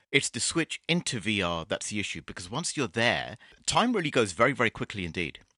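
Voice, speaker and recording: A man's medium-pitched voice has a bright, sharp tone, very wide pitch swings and vocal fry, heard with a dry, close sound with no echo against a quiet background. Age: 50s. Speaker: VR game developer. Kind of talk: interview.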